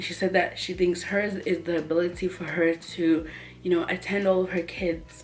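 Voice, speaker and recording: Music plays in the background as the speaker talks at a moderate pace in an American accent. The intonation is monotone and flat. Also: woman. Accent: sounds American to a viewer. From South Africa, Carletonville (Gauteng). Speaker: YouTuber. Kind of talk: casual Q&A vlog. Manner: casual, filler-heavy.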